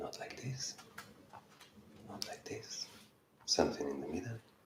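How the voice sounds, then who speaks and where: A man speaks over noticeable background noise. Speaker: yoga teacher. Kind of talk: guided yoga class.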